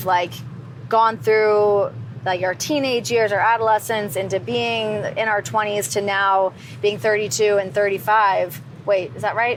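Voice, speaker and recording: A woman with an unremarkable speaking voice talks at a fairly slow pace, her medium pitch carrying lively intonation. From Canada, near Toronto. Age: 30s. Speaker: TV host, wrestling personality. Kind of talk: interview answer.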